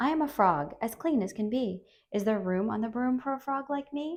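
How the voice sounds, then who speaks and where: A woman's croaky, put-on character voice, fairly high in pitch, at a moderate pace against a quiet background. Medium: read story.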